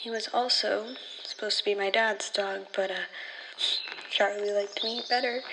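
A woman's nervous, anxious, fairly high voice at a moderate pace, monotone and flat, with long, frequent pauses and noticeable background noise. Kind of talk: horror fiction narration, in-character audio log monologue. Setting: solo audio log recording. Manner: quieter and shakier when recalling dead dog, then sarcastic and defensive.

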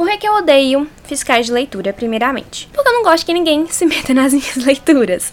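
A woman's high, animated voice with very wide pitch swings at a fairly quick pace with hardly any pauses, over noticeable background noise. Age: 20s. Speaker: podcast host. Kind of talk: solo podcast monologue.

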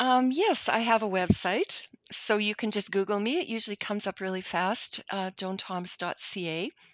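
A woman's unremarkable speaking voice with a Canadian accent, medium in pitch, with ordinary pitch variation, a moderate pace and hardly any pauses, in a dry, close sound with no echo and a quiet background. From Canada. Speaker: novelist. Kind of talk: interview.

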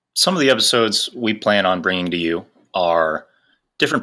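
Over a silent background in a very clean recording, a man with a normal speaking voice talks at a fairly quick pace, his fairly low pitch showing ordinary variation. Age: 20s. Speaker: podcast co-host, engineering sales representative. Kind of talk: casual podcast introduction.

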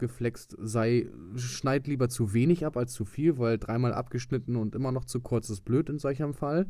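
Against a silent background on a very clean recording, a man with a dark, mellow tone speaks at a moderate pace in a medium pitch with fairly even intonation. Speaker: podcast host, van camper conversion hobbyist. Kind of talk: casual solo podcast monologue.

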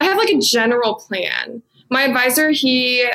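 A woman with an American accent, a fairly bright tone and vocal fry.

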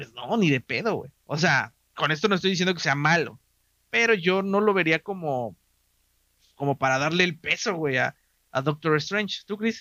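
Lively intonation marks this voice, which keeps a moderate pace. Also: man, high pitch for a man. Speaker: podcast host. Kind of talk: casual chat. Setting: live stream.

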